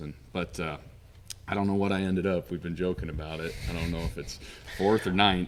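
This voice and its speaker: A man speaks at a fairly quick pace with an American accent. His intonation stays fairly even. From Montana, USA. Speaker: auctioneer. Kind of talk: podcast interview answer.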